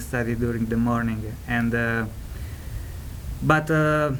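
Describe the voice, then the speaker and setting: A man with a strong Italian accent and fairly even intonation, over noticeable background noise and audible room echo. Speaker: ESL student panelist. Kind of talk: panel talk. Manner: halting, many fillers.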